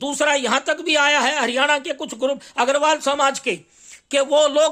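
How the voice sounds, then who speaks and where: A man's raised, projected voice carries a bright, sharp tone. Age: 60s. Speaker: astrologer and journalist. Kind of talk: monologue. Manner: halting, with fillers.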